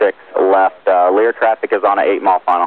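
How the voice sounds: Dry and close with no echo, a man speaks at a fast pace.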